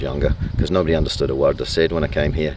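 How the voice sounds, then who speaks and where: With noticeable noise behind him, a man talks at a very fast pace. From Scotland. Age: 50s. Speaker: family vlogger. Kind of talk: casual to-camera address to relatives. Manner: hesitant, many fillers.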